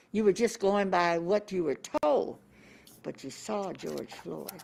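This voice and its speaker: A woman talks at a fairly slow pace and medium pitch. Her voice carries vocal fry. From US Midwest, Omaha, Nebraska. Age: 80s+. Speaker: civil rights activist. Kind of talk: interview. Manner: halting.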